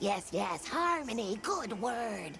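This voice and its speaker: A cartoonish character voice, fairly high in pitch, comes through clear background noise. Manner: broken grammar, grandiose word choices.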